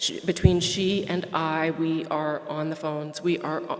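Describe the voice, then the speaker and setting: A woman speaks with a fairly low pitch. Background noise is noticeable. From Quebec. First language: French. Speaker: association staff, member services manager. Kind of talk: formal presentation at annual meeting.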